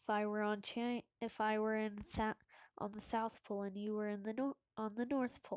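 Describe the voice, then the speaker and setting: A woman speaks at a moderate pace in a fairly high voice with flat, monotone intonation. The sound is dry and close, with no echo. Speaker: gaming youtuber. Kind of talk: gameplay commentary. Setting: at home. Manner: trying to speak louder; halting, many fillers.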